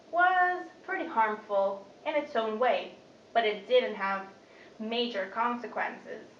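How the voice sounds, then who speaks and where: Talking fairly slowly, a woman is heard through audible room echo and noticeable background noise. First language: not Dutch. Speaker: student. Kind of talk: speech.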